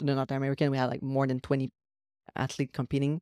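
A woman speaks in a French accent at a very deep, low pitch. The recording is very clean with a silent background and a dry, close sound with no echo. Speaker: executive assistant and posing coach. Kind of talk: casual chat.

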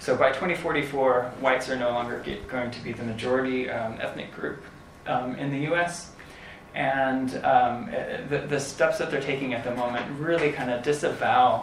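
Over noticeable background noise, the speaker talks at a moderate pace with fairly even intonation. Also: man. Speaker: political science academic panelist. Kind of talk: panel talk. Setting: uses microphone at in-person event.

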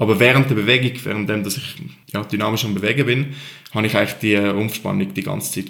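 Talking at a very fast pace, a man uses a fairly low voice with ordinary pitch variation. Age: 20s. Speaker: CrossFit athlete. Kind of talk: interview. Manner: calm.

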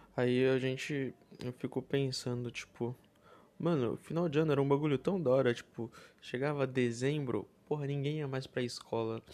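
A soft-spoken man at medium pitch, with fairly even intonation and a moderate pace. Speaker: podcast host. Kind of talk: casual monologue. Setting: at home, others nearby. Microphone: close to the mic.

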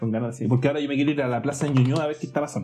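A man with a medium pitch and ordinary pitch variation talks while music plays behind him. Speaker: podcast co-host. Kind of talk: casual chat. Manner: halting.

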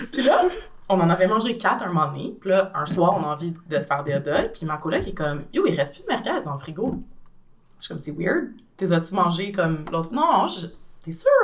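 Speaking with a Quebec accent, a woman talks at a fairly quick pace in a fairly low pitch. Her intonation is lively, and her loudness swings widely. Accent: Québécois French. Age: 30s. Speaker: translator. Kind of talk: casual chat.

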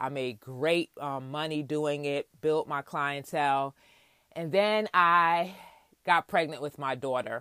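A bright, sharp tone in a New York accent at a very slow pace, dry and close with no echo, on a very clean recording with a silent background. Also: woman, very deep, low pitch for a woman, ordinary pitch variation. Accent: New York American. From Queens, New York, Jamaican parents. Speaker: podcast host and minister. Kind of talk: personal testimony monologue.

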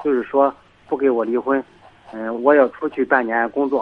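Here a man speaks at a fairly high pitch. His intonation stays fairly even. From Shandong (Gaotang, rural). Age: 30s. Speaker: caller. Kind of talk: phone-in advice call. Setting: phone call. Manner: soft-spoken. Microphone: too quiet, far from phone.

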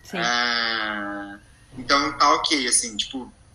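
Male voice with noticeable background noise. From Goiás, Brazil (small inland town). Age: 20s. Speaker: advertising professional. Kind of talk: casual chat. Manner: halting.

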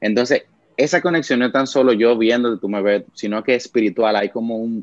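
An ordinary speaking voice from a man of medium pitch, with fairly even intonation, a moderate pace and a dry, close sound with no echo. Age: 20s. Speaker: church worship musician. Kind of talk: casual chat.

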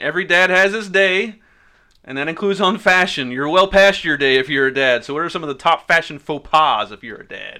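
Big swings in loudness come with lively intonation, a bright, sharp tone and a fairly quick pace. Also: man, high pitch for a man. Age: 30s. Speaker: podcast co-host. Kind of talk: casual chat.

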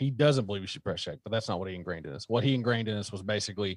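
The speaker has a Southern US accent, recorded with a dry, close sound with no echo against a quiet background. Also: man. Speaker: gun channel creator. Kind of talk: casual chat.

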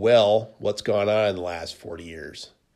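This clip features a man talking. He keeps a fairly even intonation. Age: 40s. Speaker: podcast host, workers' compensation lawyer. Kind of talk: solo podcast monologue. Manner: halting, many restarts and fillers.

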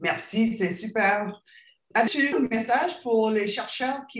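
In a strong Acadian accent, a woman speaks at a fairly slow pace. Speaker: podcast host, health network director. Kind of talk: interview.

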